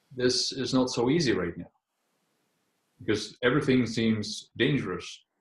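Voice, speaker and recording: Somewhat breathy, a man with a German accent speaks with long, frequent pauses. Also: medium pitch for a man, ordinary pitch variation, moderate pace. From Germany. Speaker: medical intuitive, energy healer. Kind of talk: interview about spiritual healing. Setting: video call. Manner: halting, with frequent repetitions.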